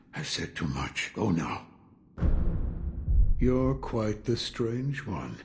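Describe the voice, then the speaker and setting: Using a put-on character voice, a man speaks at a fairly low pitch with very wide pitch swings. His pace is very slow, with long, frequent pauses. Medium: video game. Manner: terse, gruff, cryptic.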